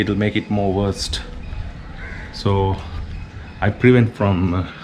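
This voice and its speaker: In a Sri Lankan accent, a man talks at a very slow pace with a fairly low pitch and fairly even intonation. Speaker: travel and food vlogger. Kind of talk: casual vlog talk.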